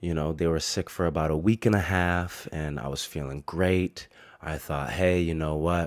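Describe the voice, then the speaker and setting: This man's pitch is very deep and low, his intonation fairly even and his pace moderate. The recording is very clean, with a silent background. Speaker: podcast host. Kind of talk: casual chat. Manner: casual, swearing-laced talk.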